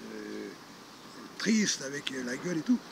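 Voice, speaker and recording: Noticeable background noise surrounds a man's voice. He speaks at a very slow pace with a fairly high pitch. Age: 60s. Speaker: retired charity founder. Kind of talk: interview storytelling. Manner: hesitant, many fillers.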